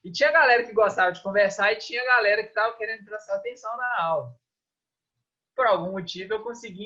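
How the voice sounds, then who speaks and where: A man's raised, projected voice, high-pitched, with a bright, sharp tone and a fairly quick pace. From Minas Gerais, Brazil (Governador Valadares). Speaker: physical education lecturer and swimming coach. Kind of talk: interview. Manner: casual, hesitant with many repetitions.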